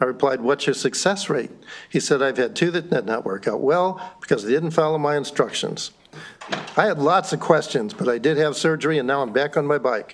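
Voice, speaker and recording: Amid noticeable background noise, a man talks fairly quickly at a fairly high pitch. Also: ordinary pitch variation. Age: 70s. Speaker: witness at legislative hearing. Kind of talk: testimony.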